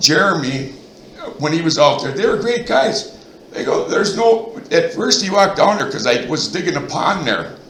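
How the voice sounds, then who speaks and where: Loud and animated, a man with an American accent speaks at a high pitch with lively intonation, amid audible room echo and noticeable background noise. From Minnesota, central (Royalton area). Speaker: resident speaking at town board meeting. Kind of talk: heated debate.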